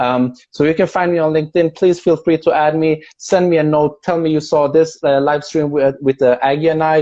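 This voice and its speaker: A man with a Persian accent, fairly high pitch, fairly even intonation and moderate pace. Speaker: video and content creator. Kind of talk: casual chat. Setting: video call.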